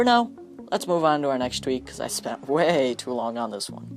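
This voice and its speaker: The speaker keeps a fairly quick pace while music plays in the background. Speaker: tech YouTuber reviewing phone tweaks. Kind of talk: screen-recorded tutorial. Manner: casual and chatty.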